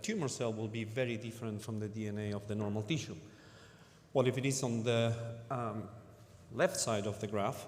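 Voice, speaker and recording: A man with a non-native accent, somewhat breathy, fairly even intonation, audible room echo. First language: not English. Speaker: cancer researcher. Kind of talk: conference talk. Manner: halting, many fillers.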